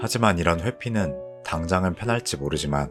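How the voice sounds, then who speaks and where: A man's calm, soothing tone at a moderate pace with ordinary pitch variation, music in the background. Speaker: healing radio host. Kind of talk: motivational quote and essay reading.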